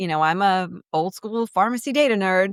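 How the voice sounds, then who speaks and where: A woman with an American accent at a moderate pace, on a very clean recording with a silent background and a dry, close sound with no echo. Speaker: business development executive. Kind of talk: podcast interview. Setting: studio. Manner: animated; extemporaneous.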